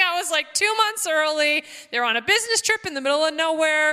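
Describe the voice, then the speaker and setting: Raised and projected, a woman's extremely high-pitched voice moves at a fairly quick pace with lively intonation. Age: 40s. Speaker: missionary and ministry director. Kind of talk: sermon.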